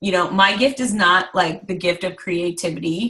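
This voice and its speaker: A woman's bright, sharp tone at medium pitch. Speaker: direct sales team leader. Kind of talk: online training call.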